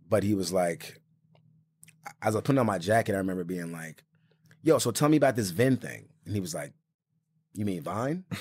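A man with an American accent and a fairly low pitch talks at a fairly quick pace with lively intonation, long, frequent pauses and big swings in loudness, on a very clean recording with a silent background. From Florida, Orlando. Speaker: comedian and social media personality. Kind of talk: casual chat. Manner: animated.

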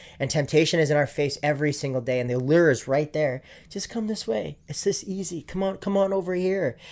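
Here is a man with a normal speaking voice at a fairly high pitch. He talks at a fairly quick pace with ordinary pitch variation. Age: 20s. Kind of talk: casual chat.

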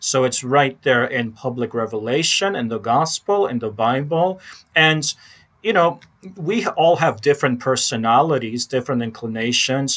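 Lively in intonation, a man with an unremarkable speaking voice talks at a moderate pace and medium pitch. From Chicago, Polish American family. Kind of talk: interview conversation.

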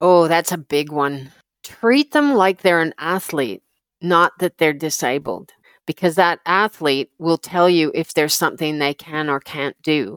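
In a very clean recording with a silent background and a dry, close sound with no echo, a woman with a plain, everyday voice speaks at a fairly slow pace, her pitch fairly low, with ordinary pitch variation. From Canada. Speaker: paracyclist. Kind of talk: interview.

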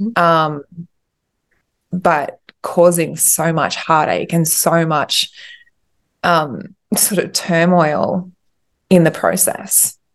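Speaking at a very slow pace with long, frequent pauses, a woman uses a fairly low pitch and fairly even intonation. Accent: Australian. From Australia. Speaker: pregnancy loss coach. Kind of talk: interview. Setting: video call.

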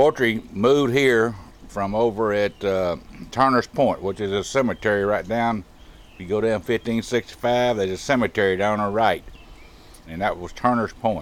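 Speaking with a Texan accent, a man talks at medium pitch with ordinary pitch variation. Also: moderate pace. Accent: Southern US, Texan. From rural Texas. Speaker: local resident. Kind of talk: casual interview.

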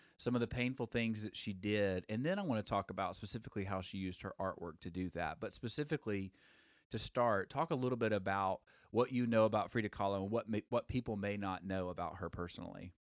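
In a Southern US accent, the speaker goes at a very fast pace with ordinary pitch variation, on a very clean recording with a silent background. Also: man, fairly low pitch for a man. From Alabama. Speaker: podcast host, former songwriter. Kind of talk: casual live-stream chat. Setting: live Instagram recording with microphones. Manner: hesitant, many fillers.

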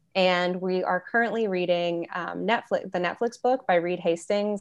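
Against a quiet background, a woman with an American accent and a plain, everyday voice talks at a moderate pace, her medium pitch fairly even. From Michigan, US Midwest. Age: 20s. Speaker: money coach. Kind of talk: podcast interview.

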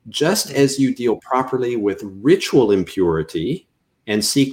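Moving at a fairly slow pace, a man speaks with very wide pitch swings. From Canada. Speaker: seminary professor. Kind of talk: interview.

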